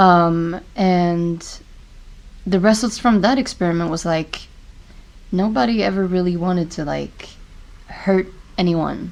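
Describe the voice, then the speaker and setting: Using a non-native accent, a woman talks at a fairly low pitch and a fairly slow pace, with ordinary pitch variation and long, frequent pauses. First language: not English. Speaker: podcast host. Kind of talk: casual podcast chat. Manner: halting, many fillers.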